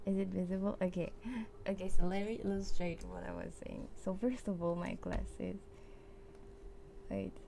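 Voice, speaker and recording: With music in the background and audible room echo, a woman speaks with long, frequent pauses and big swings in loudness. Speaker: VTuber streamer. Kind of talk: casual livestream chat. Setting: livestream at home. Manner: slow; halting.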